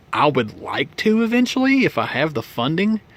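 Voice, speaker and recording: This man speaks with an Appalachian accent and ordinary pitch variation. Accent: Appalachian Southern US. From Virginia (Tazewell, Appalachian coal country). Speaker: model railroad hobbyist vlogger. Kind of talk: casual vlog chat. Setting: home storage room with model layout. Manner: loud; halting, many fillers and restarts.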